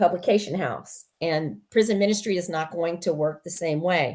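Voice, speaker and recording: A woman with a plain, everyday voice speaks at a moderate pace in a fairly low pitch, her pitch varying in an ordinary way against a quiet background. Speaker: prison ministry coordinator. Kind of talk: meeting update. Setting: video call.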